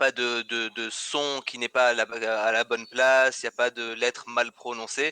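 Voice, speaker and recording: A man's medium-pitched, bright, sharp voice with a slight Tunisian accent, monotone, flat intonation, a moderate pace and hardly any pauses, in a dry, close sound with no echo. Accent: very slight Tunisian accent in French. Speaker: English teacher. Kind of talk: casual chat. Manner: halting, many repetitions.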